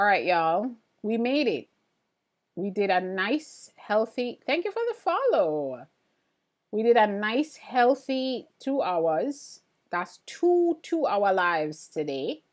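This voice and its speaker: A woman with an American accent speaks at a very slow pace and a fairly high pitch, making very wide pitch swings. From Jamaica. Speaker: printmaking artist and livestreamer. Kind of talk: casual livestream chat reading viewer comments. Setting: live stream. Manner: animated.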